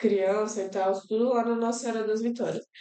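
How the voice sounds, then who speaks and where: In a room with audible echo, a woman speaks in a dark, mellow tone with monotone, flat intonation. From Brazil, Federal District (Brasília area). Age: 20s. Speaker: university student and NGO worker, host's fiancée. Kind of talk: podcast interview, personal testimony. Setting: live-streamed podcast.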